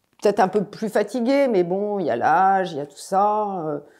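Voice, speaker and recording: A woman talks with a dark, mellow tone. Her voice sits at a fairly low pitch. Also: very clean recording, silent background. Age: 60s. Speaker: cancer patient. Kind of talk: testimony. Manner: hesitant, many fillers.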